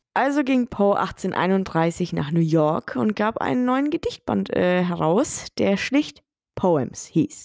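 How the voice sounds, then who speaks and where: A woman speaks at a medium pitch and a very slow pace, with very wide pitch swings and very even loudness. The recording is very clean with a silent background, and the sound is dry and close with no echo. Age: 30s. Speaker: true crime podcast host. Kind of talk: casual storytelling chat.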